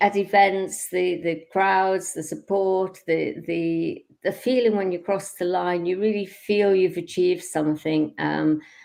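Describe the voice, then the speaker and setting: Over a very clean recording with a silent background, a woman with a British accent speaks at medium pitch. Her intonation is fairly even and her pace fairly slow. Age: 70s. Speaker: amateur marathon runner. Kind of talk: interview. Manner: halting, many fillers.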